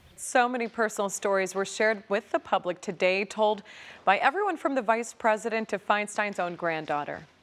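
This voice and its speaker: Speaking at a fairly quick pace, a woman with an American accent has an ordinary speaking voice, a medium pitch and ordinary pitch variation. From Southern California. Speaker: TV news anchor and reporter. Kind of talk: TV news anchor read.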